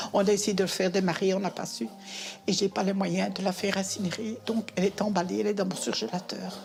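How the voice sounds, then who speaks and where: A woman at a medium pitch, with fairly even intonation and a fairly quick pace, over noticeable background noise. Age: 70s. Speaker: pensioner, interviewee. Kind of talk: testimony.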